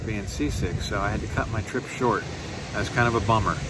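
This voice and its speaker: Recorded with a dry, echo-free sound, a man talks against noticeable background noise. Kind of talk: casual vlog chat. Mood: frustrated, self-deprecating. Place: beach. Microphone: phone near.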